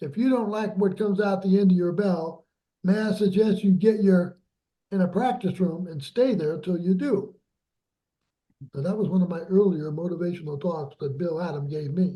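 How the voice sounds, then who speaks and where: A man with high pitch and a dark, mellow tone speaks at a moderate pace with ordinary pitch variation. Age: 70s. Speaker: trumpet teacher. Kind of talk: master class talk. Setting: video call. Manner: animated.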